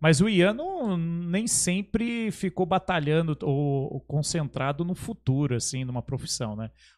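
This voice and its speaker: The speech comes at a fairly slow pace with hardly any pauses, on a very clean recording with a silent background. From Brazil, São Paulo state interior (Caçapava). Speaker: podcast host. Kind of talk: casual chat.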